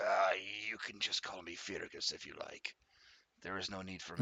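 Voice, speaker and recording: A raspy, put-on character voice speaks at a moderate pace. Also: man, fairly low pitch for a man. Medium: actual play. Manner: calm, measured, reflective.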